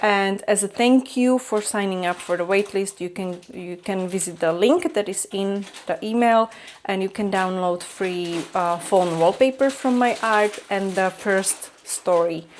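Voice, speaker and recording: A woman with a Slovak accent speaks at a fairly slow pace in a medium pitch, with ordinary pitch variation and hardly any pauses. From Slovakia. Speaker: vlogger, artist. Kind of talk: vlog. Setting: at home, kitchen table. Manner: halting, many fillers.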